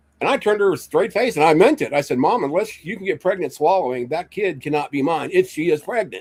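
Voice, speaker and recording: Speaking very fast with hardly any pauses, a man uses a high pitch and lively intonation. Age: 60s. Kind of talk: casual chat. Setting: livestream.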